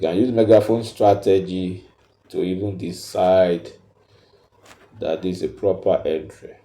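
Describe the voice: A man speaks at a low pitch with a dark, mellow tone and fairly even intonation. Audible room echo surrounds his voice. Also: fairly slow pace.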